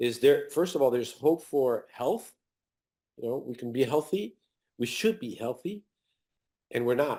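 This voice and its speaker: A man speaks at a moderate pace in a fairly high pitch, his dark, mellow tone carried by lively intonation and broken by long, frequent pauses. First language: not English. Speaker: author and health researcher. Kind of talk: interview. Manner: halting, many repetitions.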